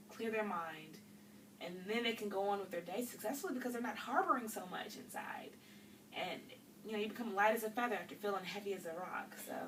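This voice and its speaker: Amid noticeable background noise and audible room echo, a woman talks at a very fast pace with ordinary pitch variation. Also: medium pitch for a woman. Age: 20s. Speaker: student role-playing a counseling client. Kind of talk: role-play counseling session.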